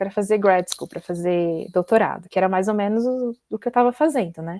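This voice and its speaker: A woman's unremarkable speaking voice at medium pitch, dry and close with no echo, on a very clean recording with a silent background. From Brazil. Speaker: PhD student. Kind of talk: casual interview.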